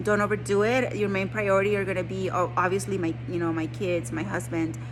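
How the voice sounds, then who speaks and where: Someone talks at a fairly quick pace while music plays in the background. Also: woman. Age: 40s. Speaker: army service member. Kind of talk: casual talk to camera.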